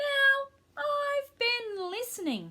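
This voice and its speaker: Squeaky and extremely high, a woman's put-on character voice fills the clip. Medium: read story. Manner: bristling, bossy.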